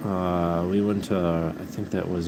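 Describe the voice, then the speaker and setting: With audible room echo and noticeable background noise, a man with an American accent speaks in a very deep, low pitch and fairly even intonation. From US Midwest. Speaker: livestreamer, pet rabbit owner. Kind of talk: casual livestream chat.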